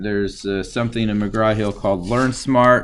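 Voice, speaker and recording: There is audible room echo around this man's fairly low-pitched voice. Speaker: university statistics lecturer. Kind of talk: lecture. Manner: slow; halting, many fillers.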